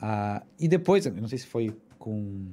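Lively intonation carries a dark, mellow tone. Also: man. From southern Brazil (Rio Grande do Sul), then Mexico from 14. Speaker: musician and cultural producer. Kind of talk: casual interview chat.

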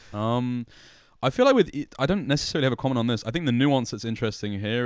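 A man speaks with a London accent. The recording is very clean, with a silent background. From London, Hackney. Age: 20s. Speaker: esports interviewer. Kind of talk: casual chat. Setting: hotel room.

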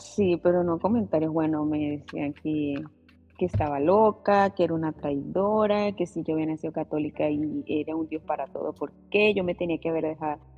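Music plays in the background as a woman speaks at a moderate pace. Her pitch is very deep and low, with ordinary variation. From Venezuela. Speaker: pastor's wife. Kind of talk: casual chat.

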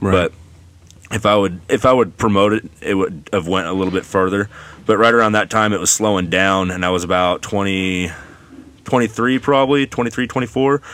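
In a normal speaking voice with an American accent, a man talks at a moderate pace, his fairly low pitch showing ordinary pitch variation. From Oregon, Banks and Gaston area. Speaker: shop mechanic. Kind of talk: casual interview chat.

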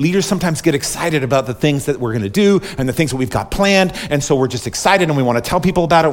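Noticeable background noise sits behind a man talking at a very fast pace. His pitch variation is ordinary. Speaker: pastor. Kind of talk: sermon. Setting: church. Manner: fast when excited.

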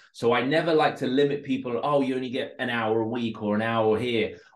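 The speaker is a man with a London accent. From West London (Northolt), raised from age six. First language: Russian. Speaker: online entrepreneur. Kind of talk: podcast interview.

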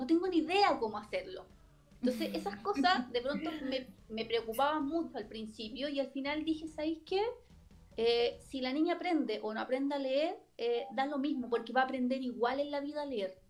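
A woman with a Chilean accent speaks at a moderate pace in a high pitch, her intonation lively. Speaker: lawyer. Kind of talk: casual chat.

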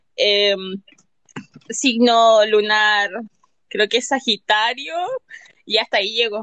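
This woman's voice is fairly high in pitch, with a bright, sharp tone and fairly even intonation. She goes at a very slow pace with long, frequent pauses, and the sound is dry and close with no echo. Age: 20s. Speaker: listener participant. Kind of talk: casual chat. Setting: Twitter Spaces audio room.

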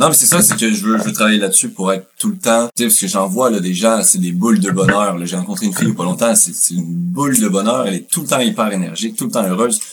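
With music in the background, a man with a Quebec accent talks at a very fast pace with hardly any pauses. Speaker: podcast host. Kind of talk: casual chat.

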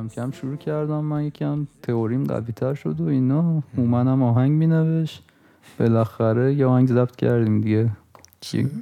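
A man's plain, everyday voice, medium in pitch, with ordinary pitch variation and a moderate pace. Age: 20s. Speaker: podcast co-host and music producer. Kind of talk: casual chat.

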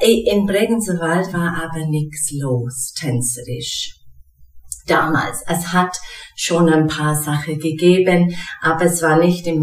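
With an English accent, a woman speaks very slowly at a very deep, low pitch with ordinary pitch variation, with noticeable background noise and audible room echo. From England. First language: English (speaking German). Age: 40s. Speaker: dance teacher and occupational therapist. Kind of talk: casual interview. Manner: hesitant, with fillers and repetitions.

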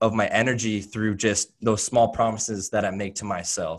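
A man with an American accent speaks at a moderate pace and medium pitch in a plain, everyday voice, on a very clean recording with a silent background. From Oregon, US. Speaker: fitness coach. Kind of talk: casual interview.

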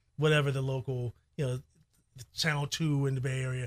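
A man with an American accent speaks at a moderate pace in a fairly high voice with a bright, sharp tone, recorded very cleanly against a silent background. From Chicago. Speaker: radio broadcaster. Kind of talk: casual interview. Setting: studio.

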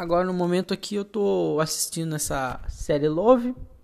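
With lively intonation, a woman speaks at a fairly slow pace in a fairly low pitch. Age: 20s. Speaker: podcaster, university student. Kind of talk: casual monologue. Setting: at home. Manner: halting, hesitant.

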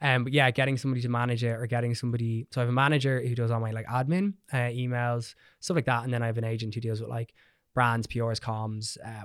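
A man speaks very fast with an Irish accent, at a medium pitch and with fairly even intonation. The recording is very clean, with a silent background. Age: 20s. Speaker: hairdresser and educator. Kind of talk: casual chat. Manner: cocky and perky.

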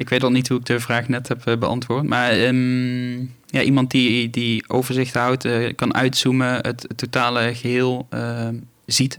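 A man speaks at a fairly slow pace in a monotone, flat intonation. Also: medium pitch for a man, very clean recording, silent background. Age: 20s. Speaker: farmer. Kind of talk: interview. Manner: halting.

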